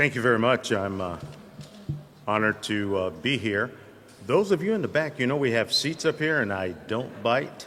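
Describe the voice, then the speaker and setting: With music in the background, a man of medium pitch speaks in an American accent with lively intonation at a moderate pace. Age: 70s. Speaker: military historian and retired army officer. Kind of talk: lecture. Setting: lecture hall with audience.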